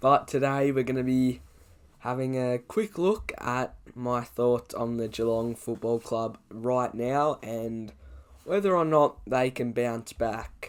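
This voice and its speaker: Someone speaks very slowly in an Australian accent with ordinary pitch variation. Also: man, medium pitch for a man. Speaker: sports YouTuber. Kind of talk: casual commentary vlog.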